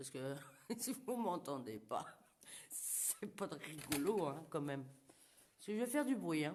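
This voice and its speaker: A woman speaks loudly at a fairly slow pace. Her pitch swings very widely. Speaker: paranormal investigator. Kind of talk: live paranormal investigation. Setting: abandoned burned house, live stream. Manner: casual. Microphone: too quiet when moving away.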